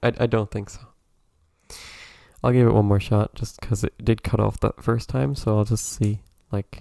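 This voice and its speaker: A soft-spoken man with a dark, mellow tone and fairly low pitch, at a moderate pace with ordinary pitch variation and long, frequent pauses, in a dry, close sound with no echo. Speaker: video game streamer. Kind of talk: casual live stream commentary.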